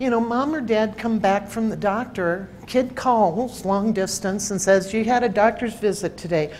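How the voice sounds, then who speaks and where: A woman's medium-pitched voice at a fairly slow pace with ordinary pitch variation and audible room echo. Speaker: researcher presenting at a healthcare conference. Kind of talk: conference presentation. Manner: animated.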